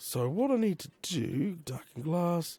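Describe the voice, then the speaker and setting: A man with an Australian accent speaks in a high pitch with lively intonation. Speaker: Minecraft let's play creator. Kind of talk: casual gaming commentary.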